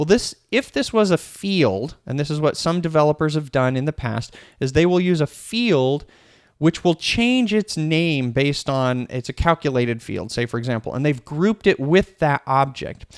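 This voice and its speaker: A man talks in an ordinary speaking voice at a moderate pace, his fairly high pitch carried by lively intonation. The recording is very clean with a silent background, and the sound is dry and close with no echo. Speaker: software trainer. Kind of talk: tutorial.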